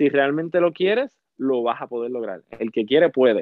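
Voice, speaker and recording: In a Puerto Rican accent, a man talks at a fairly slow pace. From Puerto Rico (Salinas). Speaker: theatre actor. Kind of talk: interview.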